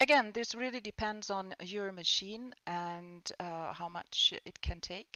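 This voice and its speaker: At a fairly slow pace, a woman with a non-native accent speaks at medium pitch with ordinary pitch variation. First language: not English. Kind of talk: panel discussion. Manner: halting.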